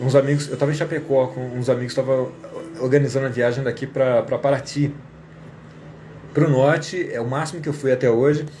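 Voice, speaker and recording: Despite long, frequent pauses, a man talks at a very fast pace in a monotone, flat intonation over noticeable background noise. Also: fairly high pitch for a man. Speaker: English teacher. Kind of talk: casual live stream talk.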